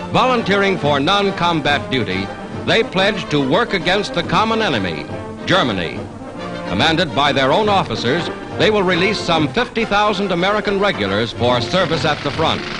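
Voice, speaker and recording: Very wide pitch swings come with very even loudness, with music in the background. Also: man, high pitch for a man, moderate pace. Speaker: newsreel narrator. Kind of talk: newsreel narration.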